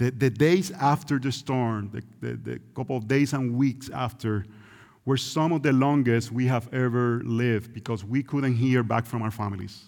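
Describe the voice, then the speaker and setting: In a very clean recording with a silent background, a man speaks at a moderate pace and a medium pitch. He has a Puerto Rican accent and ordinary pitch variation. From Puerto Rico. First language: Spanish. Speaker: visiting preacher. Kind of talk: sermon. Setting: church.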